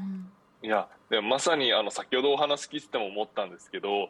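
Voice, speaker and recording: A man talks at a fairly quick pace. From Japan, Chiba. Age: 20s. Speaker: startup founder, reading education. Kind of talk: interview. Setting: remote appearance.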